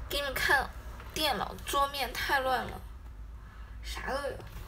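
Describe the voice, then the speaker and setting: A woman talks at a fairly slow pace, taking long, frequent pauses. There is light background noise. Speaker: idol group member; idol livestreamer. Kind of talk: casual livestream chat. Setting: livestream from her bedroom. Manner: animated. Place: home room. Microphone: phone near.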